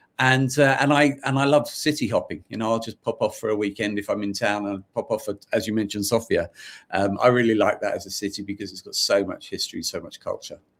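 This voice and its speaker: Speaking in a London accent, a man rushes along at a very fast pace with hardly any pauses. The recording is very clean, with a silent background. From London, England (Irish family). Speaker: author, podcaster and business founder. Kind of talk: interview. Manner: halting, many repetitions and fillers.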